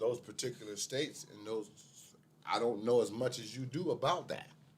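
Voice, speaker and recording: A somewhat breathy man at a medium pitch, with ordinary pitch variation and a moderate pace. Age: 60s. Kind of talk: casual chat.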